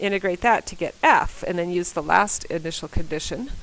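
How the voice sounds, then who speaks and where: Here a woman talks at a moderate pace in an unremarkable speaking voice. Her pitch sits in the medium range. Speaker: math teacher. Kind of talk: recorded lesson.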